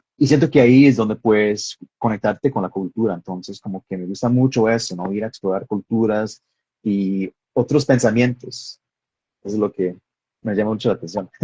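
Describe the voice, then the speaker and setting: A man with a strong Texan accent talks at a moderate pace. His pitch sits fairly low. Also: ordinary pitch variation. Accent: American (Texan) accent in Spanish, strong. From Texas. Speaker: filmmaker and screenwriter. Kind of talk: interview in a live stream. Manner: hesitant, many fillers.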